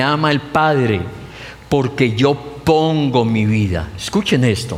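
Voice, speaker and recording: Talking at a very slow pace, a man with a fairly high pitch and ordinary pitch variation is heard amid noticeable background noise and audible room echo. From Colombia (Pamplona). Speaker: pastor. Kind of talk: sermon.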